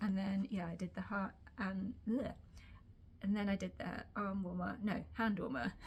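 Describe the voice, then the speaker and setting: A woman with a British accent and vocal fry, medium pitch, ordinary pitch variation and a moderate pace. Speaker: sewing vlogger. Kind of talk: casual vlog chat. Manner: hesitant, many fillers.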